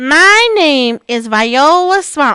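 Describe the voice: A woman uses a high-pitched, put-on character voice. She raises and projects it.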